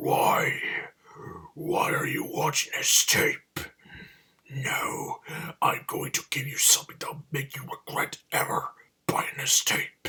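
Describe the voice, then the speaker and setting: A man in a raspy, put-on character voice speaks at a fairly slow pace with long, frequent pauses. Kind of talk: menacing, threatening. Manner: demonic.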